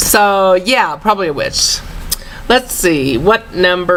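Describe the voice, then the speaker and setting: Amid noticeable background noise, a woman with a Southern US accent talks at a fairly slow pace with lively intonation. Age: 40s. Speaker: vlogger. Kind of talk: casual chat. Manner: relaxed, halting with fillers.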